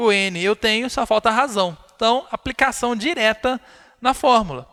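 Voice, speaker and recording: A man with a high pitch projects a raised voice in a bright, sharp tone, recorded with a dry, close sound and no echo. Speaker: math teacher. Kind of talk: live online lecture.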